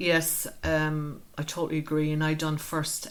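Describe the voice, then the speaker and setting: A woman's very deep, low voice in an Irish accent. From Ireland, Wexford. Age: 50s. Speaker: community group founder. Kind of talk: interview.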